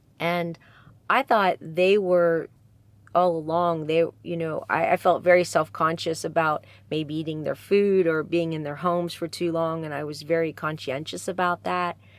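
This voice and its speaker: A woman with an American accent speaks at a fairly low pitch and a moderate pace, with fairly even intonation, in an ordinary speaking voice. The recording is very clean, with a silent background. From Pennsylvania, USA. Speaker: storyteller. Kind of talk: interview answer.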